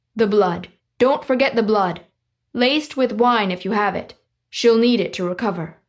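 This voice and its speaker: Over a quiet background, a woman uses a put-on character voice at a fairly high pitch and a moderate pace. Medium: read story. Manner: blunt, terse.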